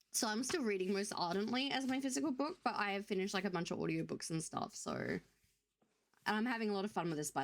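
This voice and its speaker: A woman at a very fast pace, animated in tone, with lively intonation and vocal fry. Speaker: streamer. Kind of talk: casual chat.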